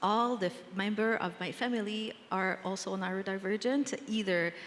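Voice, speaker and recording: Her intonation stays fairly even. The woman's pitch sits at a medium level. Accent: Quebec. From Quebec. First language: French. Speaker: nonprofit general manager. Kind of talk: panel discussion. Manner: hesitant, many fillers.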